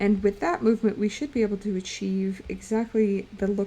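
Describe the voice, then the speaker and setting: Somewhat breathy speech from a woman at medium pitch, fairly quick pace and fairly even intonation. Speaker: streamer and illustrator. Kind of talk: casual livestream chat while drawing. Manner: casual, with filler words.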